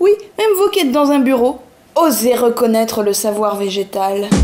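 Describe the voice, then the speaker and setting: A woman speaks at a fairly slow pace with a playful tone and a fairly high pitch. Noticeable background noise runs under her voice. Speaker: comedian. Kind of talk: comic weekly bar program announcement. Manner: playful, improvised.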